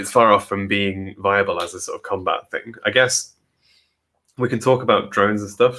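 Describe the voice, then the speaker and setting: A bright, sharp tone with an English Midlands accent, moderate pace and fairly even intonation, on a very clean recording with a silent background. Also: man, fairly low pitch for a man. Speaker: podcast co-host, works in automation. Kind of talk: casual chat. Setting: both in same room, sharing one microphone.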